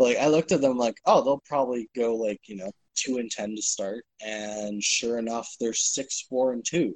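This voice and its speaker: In a normal speaking voice, a man talks at medium pitch with ordinary pitch variation, the sound dry and close with no echo. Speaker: podcast co-host. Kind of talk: casual banter about esports league.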